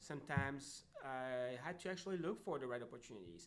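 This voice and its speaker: A man with a French accent, fairly high in pitch, at a fairly quick pace with lively intonation. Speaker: job seeker who found work. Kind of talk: interview conversation. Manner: halting, many fillers.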